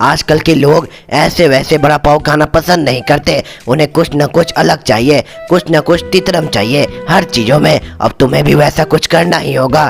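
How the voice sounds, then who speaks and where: Over clear background music, a man does a cartoonish character voice at a moderate pace with a fairly high pitch. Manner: friendly, frank.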